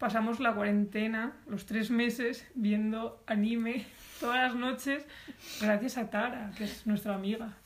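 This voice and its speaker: At a moderate pace, a woman with a somewhat breathy, fairly high voice speaks in a monotone, flat intonation. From Spain, Alicante province. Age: 20s. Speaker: podcast co-host, design student. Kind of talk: casual chat.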